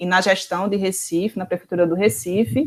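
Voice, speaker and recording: Speaking with a Pernambuco accent, a woman uses ordinary pitch variation. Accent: Pernambuco accent, noticeable. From Pernambuco, Brazil. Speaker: professor, researcher. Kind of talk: online talk.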